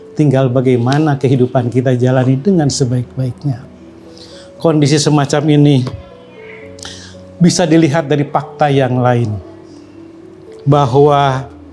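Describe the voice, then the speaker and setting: A man speaks fairly slowly at a fairly high pitch, pausing long and often. His loudness stays very even and his intonation fairly even, with music in the background. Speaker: Islamic teacher. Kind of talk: Islamic science lecture.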